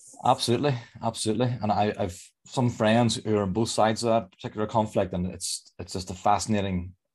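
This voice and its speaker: A man with a Northern Irish accent talks at a very fast pace. His pitch is fairly low, and the background is quiet. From Northern Ireland. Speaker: leadership coach. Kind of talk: online presentation. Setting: video call. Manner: sing-song.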